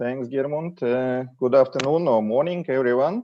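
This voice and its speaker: A man speaks in a Russian accent, his pitch medium and its variation ordinary. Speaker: ship fleet manager. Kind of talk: corporate presentation. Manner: hesitant, many fillers.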